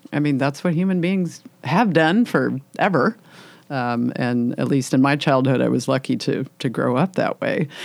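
Her pitch is very deep and low for a woman, with vocal fry. The intonation is lively. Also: moderate pace. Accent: American. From US Midwest, Illinois. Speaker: nature photographer and writer. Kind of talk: interview conversation.

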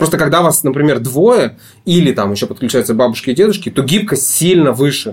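A man with a fairly high pitch talks at a fairly quick clip, his voice somewhat breathy and his intonation lively. His loudness stays very even throughout. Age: 30s. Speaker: divorced father sharing custody. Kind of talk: interview, personal story. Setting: studio.

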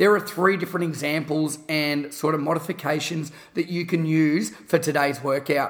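An Australian accent at a moderate pace, with hardly any pauses, fairly even intonation and noticeable background noise. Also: man, fairly high pitch for a man. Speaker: podcast host and fitness educator.

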